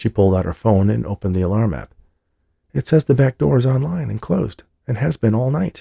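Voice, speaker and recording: Dry and close with no echo, a man's dark, mellow, somewhat breathy voice at medium pitch races at a very fast pace with very wide pitch swings. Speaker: audiobook narrator. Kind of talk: audiobook reading of a novel. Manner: measured, storytelling pace.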